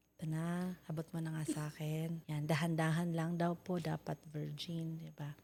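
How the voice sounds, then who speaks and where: The voice is somewhat breathy with a dark, mellow tone, delivered at a moderate pace. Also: woman, very deep, low pitch for a woman. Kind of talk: casual chat; sales pitch. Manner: animated.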